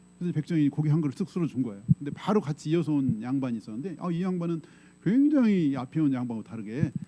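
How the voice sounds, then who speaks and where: A somewhat breathy man with a dark, mellow tone speaks fairly quickly at a fairly high pitch, swinging very widely up and down. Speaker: pastor. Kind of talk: sermon. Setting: church. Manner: conversational, storytelling.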